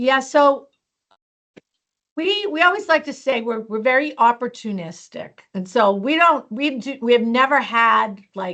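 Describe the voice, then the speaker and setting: In a raised, projected voice, a woman with a high pitch and a bright, sharp tone speaks at a fairly slow pace with very wide pitch swings. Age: 60s. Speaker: hotel company HR executive. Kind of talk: interview. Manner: casual, conversational.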